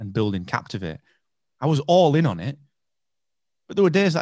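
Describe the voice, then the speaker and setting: A man at a very fast pace with very wide pitch swings and vocal fry, on a very clean recording with a silent background. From England. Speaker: entrepreneur. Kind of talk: casual interview.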